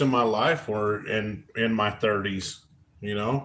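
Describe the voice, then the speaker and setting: A man with an American accent, talking at a very slow pace. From Oregon. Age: 40s. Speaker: livestream co-host. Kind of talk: casual chat. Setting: live stream at home.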